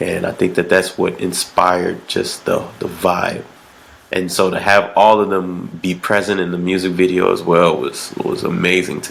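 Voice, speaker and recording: A man at a moderate pace, relaxed in tone, with noticeable background noise. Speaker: musician. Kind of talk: podcast interview. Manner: relaxed, casual.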